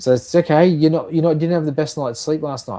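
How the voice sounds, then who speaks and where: A man with an Australian accent. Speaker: nurse and health tech founder. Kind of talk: podcast interview.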